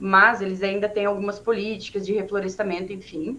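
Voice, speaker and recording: Speaking at a moderate pace and medium pitch, a woman has a plain, everyday voice. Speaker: schoolteacher. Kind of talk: presentation in online teacher training meeting.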